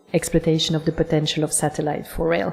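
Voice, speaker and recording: Music plays in the background as a woman speaks with a very deep, low pitch. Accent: non-native. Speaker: conference moderator. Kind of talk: event moderation. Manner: formal.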